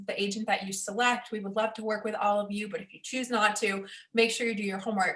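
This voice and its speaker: Against noticeable background noise, the speaker rushes along at a very fast pace in a monotone, flat voice. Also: woman. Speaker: real estate agent. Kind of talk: interview.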